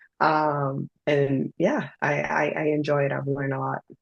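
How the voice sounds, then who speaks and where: This woman has a Spanish accent. Her pitch sits very deep and low. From Dominican Republic. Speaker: poet and self-published author. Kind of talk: interview.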